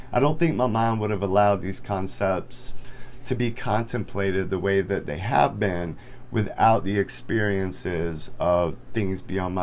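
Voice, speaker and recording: A man talks at a fairly slow pace, his voice showing vocal fry. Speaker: spiritual content creator. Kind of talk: casual talk to camera.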